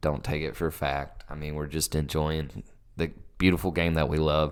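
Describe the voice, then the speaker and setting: On a very clean recording with a silent background, a man with a Southern US accent speaks at a moderate pace in a very deep, low, monotone voice. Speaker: soccer podcast co-host. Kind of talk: casual chat. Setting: home basement.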